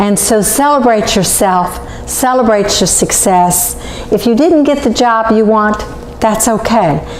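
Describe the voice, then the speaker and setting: Speaking fairly slowly at a fairly high pitch, a woman keeps her loudness very even and her pitch variation ordinary, with noticeable background noise and audible room echo. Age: 60s. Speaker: cooking show host. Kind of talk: cooking demonstration. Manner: casual.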